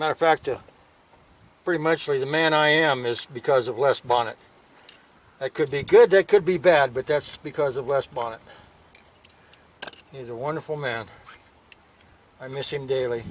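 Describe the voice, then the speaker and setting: At a moderate pace, a man with a fairly high pitch speaks with long, frequent pauses and big swings in loudness, over noticeable background noise. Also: ordinary pitch variation. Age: 70s. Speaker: motorcycle vlogger. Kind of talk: casual tutorial. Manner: casual, plain-spoken.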